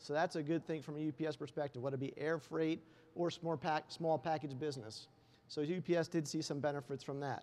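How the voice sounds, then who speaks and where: A man with an unremarkable speaking voice talks at a fairly quick pace, fairly high in pitch, with fairly even intonation. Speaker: logistics marketing director. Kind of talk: conference presentation. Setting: stage with audience. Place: hall. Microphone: lapel.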